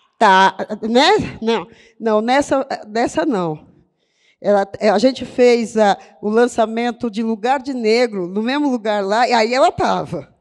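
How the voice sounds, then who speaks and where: A woman's fairly high voice at a very slow pace, with ordinary pitch variation, in a very clean recording with a silent background. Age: 70s. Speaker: poet and writer. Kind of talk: panel discussion. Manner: animated.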